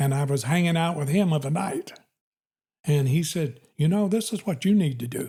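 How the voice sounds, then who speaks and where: A man talks at a moderate pace with a fairly high pitch and ordinary pitch variation. His tone is dark and mellow, on a very clean recording with a silent background. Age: 80s+. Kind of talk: interview answer.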